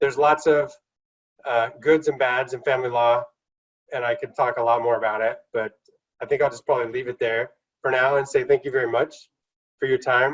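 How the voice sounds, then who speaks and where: Somewhat breathy, a man of medium pitch speaks at a fairly quick pace with fairly even intonation. He leaves long, frequent pauses. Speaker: instructor. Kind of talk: lecture. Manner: fast.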